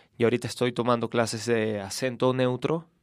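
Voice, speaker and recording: In a normal speaking voice, a man speaks at medium pitch and moderate pace, with a dry, close sound with no echo on a very clean recording with a silent background. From Venezuela, Caracas. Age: 20s. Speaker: actor. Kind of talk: casual chat.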